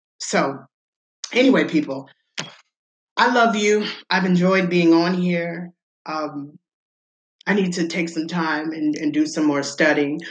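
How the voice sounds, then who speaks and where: The speech moves at a fairly slow pace with long, frequent pauses. Pitch varies in an ordinary way, and room echo is audible. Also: woman, fairly low pitch for a woman. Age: 40s. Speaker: religious podcast host. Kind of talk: bible teaching monologue.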